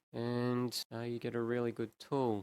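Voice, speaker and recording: In an Australian accent, a man speaks at a medium pitch, with a dry, close sound and no echo. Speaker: animator. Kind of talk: tutorial. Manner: casual.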